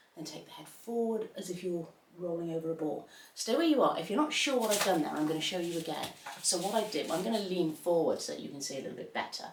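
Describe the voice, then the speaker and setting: Delivery comes at a very fast pace with lively intonation. Noticeable background noise and audible room echo are both present. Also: woman, fairly low pitch for a woman. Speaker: pilates instructor. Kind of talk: exercise class instruction.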